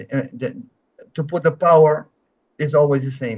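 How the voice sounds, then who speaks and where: A man speaks at a moderate pace in a fairly high, somewhat breathy voice. His intonation is fairly even, and the background is quiet. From Netherlands. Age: 70s. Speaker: taekwondo grandmaster. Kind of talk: interview. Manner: halting, with self-corrections.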